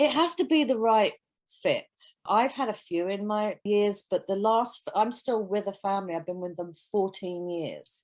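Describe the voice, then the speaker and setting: Medium in pitch, a woman speaks with a British accent. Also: lively intonation, moderate pace. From London, England. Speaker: nanny. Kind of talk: casual chat.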